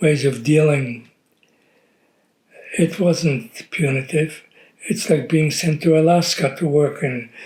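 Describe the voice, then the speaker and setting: A man talks very slowly in a fairly high, somewhat breathy voice, with ordinary pitch variation. His loudness stays very even, broken by long, frequent pauses. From Poland. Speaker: Holocaust survivor family interviewee. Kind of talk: oral history interview. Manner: halting.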